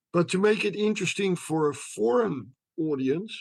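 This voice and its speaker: A man's high-pitched voice with lively intonation. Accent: Dutch. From Netherlands. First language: Dutch. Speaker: history professor. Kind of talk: interview.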